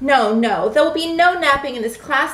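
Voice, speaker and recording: At a moderate pace, a woman puts on a character voice pitched high. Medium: read story. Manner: chirpy, bubbly, enthusiastic.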